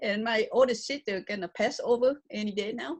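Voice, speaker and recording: A woman speaks with a strong Vietnamese accent. Her pace is moderate. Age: 70s. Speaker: author and speaker. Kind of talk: public talk Q&A. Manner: loud.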